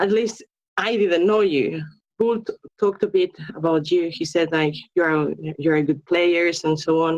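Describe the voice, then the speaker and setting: A woman with a non-native accent speaks at a moderate pace with fairly low pitch and ordinary pitch variation. She leaves long, frequent pauses. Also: very even loudness. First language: not English. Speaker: esports player, clan member. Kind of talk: post-match interview. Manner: halting.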